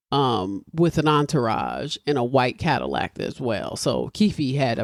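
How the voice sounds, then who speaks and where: A woman speaks with a very deep, low pitch and vocal fry. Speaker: podcast host. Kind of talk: casual chat.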